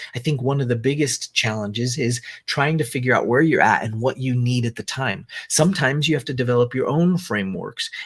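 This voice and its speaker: A man with a medium pitch and a somewhat breathy voice talks fairly quickly, his pitch varying in an ordinary way. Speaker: business coach. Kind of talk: online business presentation. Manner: animated.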